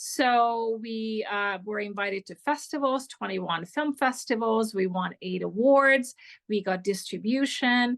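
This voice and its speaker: In a Hungarian accent, a woman speaks at a fairly slow pace with a fairly high pitch and ordinary pitch variation. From Hungary. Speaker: film director. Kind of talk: interview.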